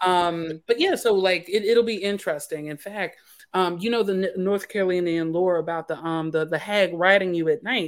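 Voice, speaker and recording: An unremarkable speaking voice from a woman with an American accent, medium in pitch, at a moderate pace with fairly even intonation. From US, Philadelphia. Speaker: author. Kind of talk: casual chat. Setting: remote video call.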